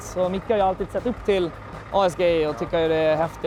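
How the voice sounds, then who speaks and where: A man speaks at a fairly quick pace with a Gotland accent, his pitch high for a man. His intonation stays fairly even, and there is noticeable background noise. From Gotland, Sweden. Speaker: truck driver. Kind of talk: casual interview.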